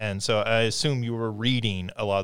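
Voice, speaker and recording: A man talks at a moderate pace in a normal speaking voice with fairly even intonation. The recording is very clean, with a silent background. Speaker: podcast host and university faculty member. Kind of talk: interview conversation.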